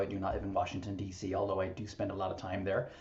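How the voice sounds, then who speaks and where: A man at a very fast pace, with audible room echo. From Ireland, Limerick. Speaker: real estate broker and association leader. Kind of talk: podcast interview. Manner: energetic.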